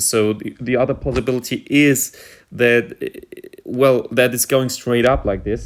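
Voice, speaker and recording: A man talks at a fairly slow pace. He has a German accent and a medium pitch. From Germany. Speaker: stock market commentator. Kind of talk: tutorial. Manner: halting, many fillers.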